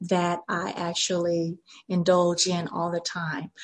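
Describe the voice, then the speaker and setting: A woman with a medium pitch speaks at a very slow pace in a somewhat breathy voice. The background is quiet. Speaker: real estate agent and public speaking expert. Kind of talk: casual interview chat.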